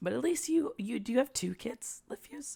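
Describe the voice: At a moderate pace, a woman puts on a raspy, hoarse character voice with a high pitch.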